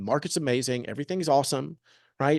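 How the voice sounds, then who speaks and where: A man talks at a very fast pace with lively intonation. The sound is dry and close, with no echo. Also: quiet background. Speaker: real estate agent. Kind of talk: presentation.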